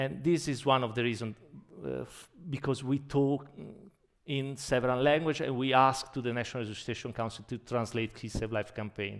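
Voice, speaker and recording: A man with a strong Italian accent, medium in pitch, talking at a fairly quick pace with fairly even intonation. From Italy. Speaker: anesthesiologist and emergency physician. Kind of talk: conference keynote. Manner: halting.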